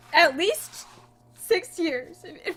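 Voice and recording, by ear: Slowly and with lively intonation, a woman uses a put-on character voice at an extremely high pitch with a fairly bright tone.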